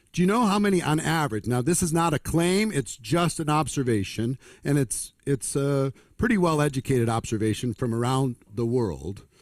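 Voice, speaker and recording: A man with a plain, everyday voice and fairly high pitch talks at a moderate pace, his intonation lively and his loudness very even. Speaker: network marketing trainer. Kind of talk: motivational seminar talk.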